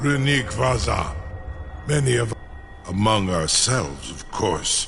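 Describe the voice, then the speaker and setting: There is clear background noise as a man talks at a fairly slow pace. He uses a put-on character voice at medium pitch. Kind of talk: fantasy epic game voice acting. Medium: video game. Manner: slow, formal, measured.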